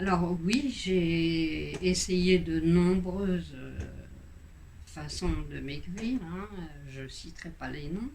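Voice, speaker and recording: Over audible room echo, a woman speaks at a very slow pace with big swings in loudness. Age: 60s. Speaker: patient giving testimonial. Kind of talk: testimony. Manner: halting, many hesitations.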